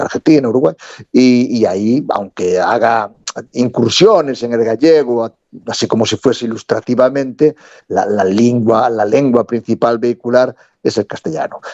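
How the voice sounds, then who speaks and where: Recorded with a dry, close sound and no echo, a man of medium pitch speaks at a moderate pace with ordinary pitch variation. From Galicia, Spain. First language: Galician (speaking Spanish). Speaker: theatre director and storyteller. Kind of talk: interview. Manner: halting, repeats words.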